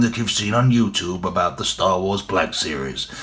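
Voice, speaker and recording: Noticeable background noise sits behind a man whose lively intonation moves at a moderate pace. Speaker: toy collector YouTuber. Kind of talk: product review. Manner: hesitant, many fillers.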